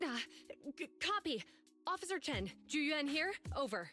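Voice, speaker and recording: A raspy, high-pitched put-on character voice at a moderate pace. Faint music plays in the background. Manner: hesitant, stammering.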